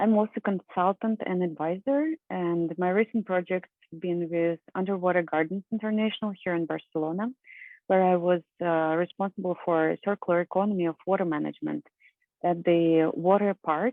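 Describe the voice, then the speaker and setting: A woman's fairly low voice with a Russian accent, fairly even intonation and a moderate pace. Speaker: professor and environmental scientist. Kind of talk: conference presentation.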